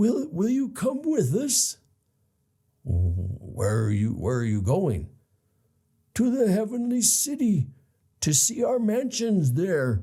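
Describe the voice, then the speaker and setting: A man puts on a character voice pitched high. He speaks at a fairly slow pace with long, frequent pauses. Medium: read story. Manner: gentle, warm.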